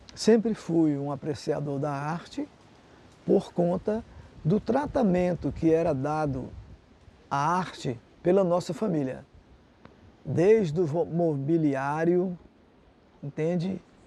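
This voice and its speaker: Speaking at a very slow pace with long, frequent pauses, a man with a high pitch uses a dark, mellow tone. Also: ordinary pitch variation. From Fortaleza, Ceará, Brazil. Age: 70s. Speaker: visual artist. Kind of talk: interview.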